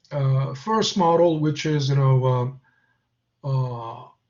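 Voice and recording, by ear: Speaking at a very slow pace, a man gets his words out.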